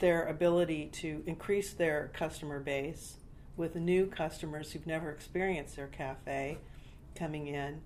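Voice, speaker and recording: A woman's very deep, low voice with an American accent, at a fairly slow pace, in a monotone, flat intonation, with audible room echo. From California. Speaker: startup founder and career coach. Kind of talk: interview.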